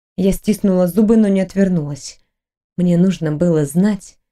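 A quiet background behind plain reading aloud, with ordinary pitch variation

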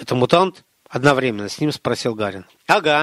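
Lively intonation marks a natural reading voice. The background is quiet.

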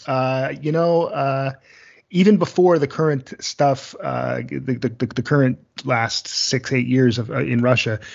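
In a plain, everyday voice, a man talks at a fairly slow pace. His pitch is medium, with ordinary pitch variation. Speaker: podcast host. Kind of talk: casual chat.

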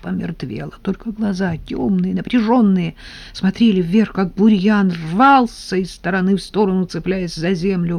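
The clip has a natural reading voice. Nothing else stands out.

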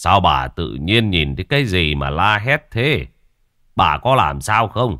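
A man speaks in a put-on character voice at a low pitch, his bright, sharp tone making big pitch swings at a fairly slow pace on a very clean recording with a silent background.

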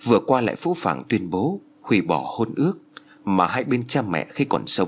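What you hear is plain reading aloud.

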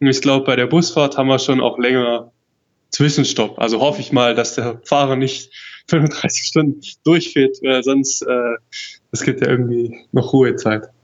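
A man speaks in a normal speaking voice at a moderate pace, with a medium pitch and fairly even intonation. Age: 20s. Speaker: world traveler. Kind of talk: casual interview.

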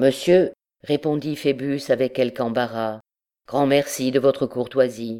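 Quiet background behind a natural reading voice

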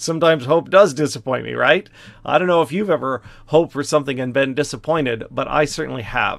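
A fairly high-pitched man with vocal fry, at a very fast pace. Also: ordinary pitch variation. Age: 50s. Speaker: pastor. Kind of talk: Bible study lecture. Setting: office, livestream video. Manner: casual, with many fillers.

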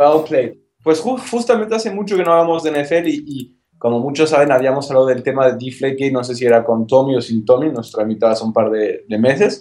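Fairly high-pitched man with a dark, mellow tone, lively intonation and a fairly quick pace. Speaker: podcast co-host. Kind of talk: casual chat. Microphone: connection keeps cutting out.

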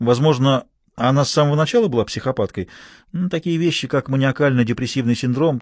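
A natural reading voice with ordinary pitch variation, set against a quiet background.

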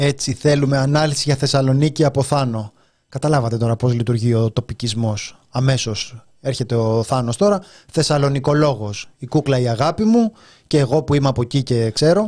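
A man's dark, mellow voice at medium pitch, moderate pace, and ordinary pitch variation. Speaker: radio host. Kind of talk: casual chat.

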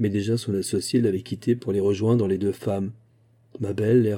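Intonation holds fairly even in this natural reading voice.

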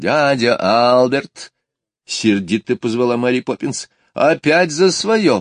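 The voice is plain reading aloud with lively intonation. The background is quiet.

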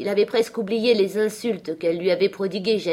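Someone reads a text aloud, using a natural voice.

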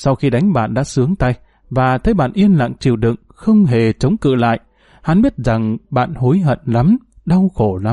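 The natural reading voice moves with lively intonation.

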